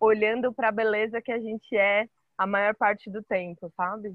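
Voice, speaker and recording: Speaking at a fairly slow pace, a woman holds a fairly high pitch in a monotone, flat intonation. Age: 30s. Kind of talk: casual chat.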